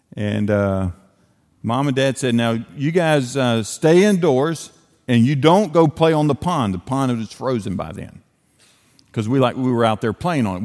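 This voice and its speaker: In an Appalachian accent, a man speaks at a moderate pace with lively intonation. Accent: Appalachian Southern US. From Western North Carolina. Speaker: evangelist, guest preacher. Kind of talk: sermon. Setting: church.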